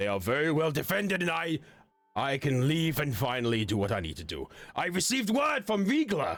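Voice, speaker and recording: A put-on character voice from a man, fairly high in pitch and at a fairly quick pace. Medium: actual play. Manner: hearty, boisterous.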